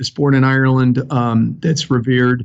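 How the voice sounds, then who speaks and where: A man with a Chicago accent speaks at a moderate pace and medium pitch, his intonation flat and monotone. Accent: Chicago South Side. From Chicago South Side, US Midwest. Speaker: fire chief. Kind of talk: interview.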